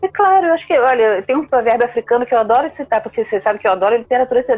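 With music in the background, a woman talks at a very fast pace, high-pitched and with lively intonation. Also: very even loudness. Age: 50s. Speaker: author and librarian. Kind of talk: casual interview.

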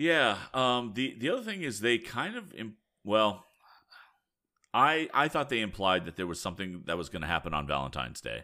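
Over a silent background in a very clean recording, the voice shows vocal fry, a bright, sharp tone and very wide pitch swings at a moderate pace. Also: man, medium pitch for a man. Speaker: podcast host. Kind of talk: casual chat.

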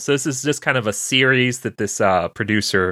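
With an American accent, a man speaks at a moderate pace in an ordinary speaking voice of medium pitch. The sound is dry and close, with no echo. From Louisiana, US South. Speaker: podcast host. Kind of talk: casual chat.

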